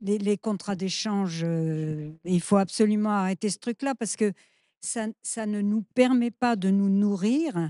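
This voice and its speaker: In a quiet background, a woman with a dark, mellow tone speaks very slowly, with ordinary pitch variation. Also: medium pitch for a woman, dry, close sound with no echo. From France, urban. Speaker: activist. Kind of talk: panel discussion.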